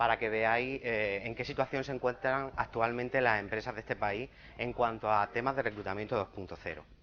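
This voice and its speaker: A man with a Murcian accent at a moderate pace. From Spain, Murcia. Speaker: recruitment consultant. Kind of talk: conference talk.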